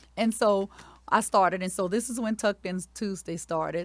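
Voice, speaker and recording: The speaker has a Louisiana accent, on a very clean recording with a silent background. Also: woman. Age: 40s. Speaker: elementary school principal. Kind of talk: interview storytelling.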